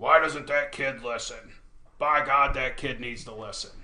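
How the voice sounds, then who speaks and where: Someone uses a put-on character voice. There is audible echo on the recording. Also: man, fairly high pitch for a man, moderate pace. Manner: scolding, exasperated.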